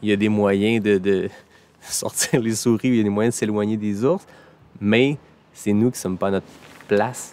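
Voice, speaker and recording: A man speaks at a moderate pace with a fairly low pitch. His intonation stays fairly even, broken by long, frequent pauses. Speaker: podcast host. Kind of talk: casual podcast conversation.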